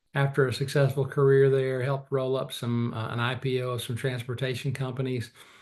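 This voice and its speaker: Somewhat breathy and at a medium pitch, a man talks at a fairly quick pace in a monotone, flat intonation with hardly any pauses. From rural Arkansas. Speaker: investment executive. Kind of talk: interview.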